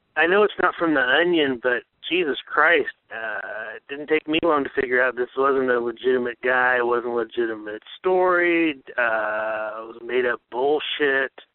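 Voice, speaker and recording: With an American accent, this man has an unremarkable speaking voice and ordinary pitch variation. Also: medium pitch for a man, moderate pace. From US East Coast. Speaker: listener voicemail caller. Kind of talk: voicemail message. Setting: phone call.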